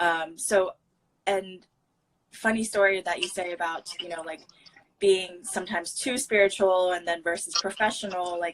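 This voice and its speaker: Her pace is moderate. The woman's intonation stays fairly even. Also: medium pitch for a woman. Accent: Chinese. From United States. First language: Mandarin Chinese. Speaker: wellness channel host. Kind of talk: casual chat.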